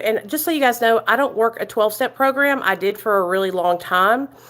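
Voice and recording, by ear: A woman with an American country accent speaks loud and at a fairly quick pace, her fairly high pitch carrying a fairly bright tone. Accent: American country twang.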